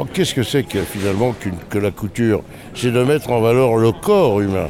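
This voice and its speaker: A man speaking at a fairly quick pace with lively intonation, noticeable background noise behind him. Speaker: novelist and former couturier. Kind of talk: interview. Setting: book fair. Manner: halting.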